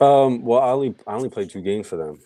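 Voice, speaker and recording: With a slight Philadelphia accent, a man speaks at a fairly quick pace in a dark, mellow tone. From Philadelphia, US Northeast. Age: 20s. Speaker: hockey goaltender. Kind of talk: podcast interview. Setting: live-streamed podcast.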